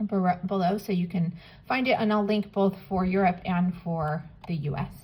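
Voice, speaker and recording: The voice is somewhat breathy and keeps a moderate pace. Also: woman. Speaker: polymer clay artist. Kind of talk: tutorial. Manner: casual, with many fillers.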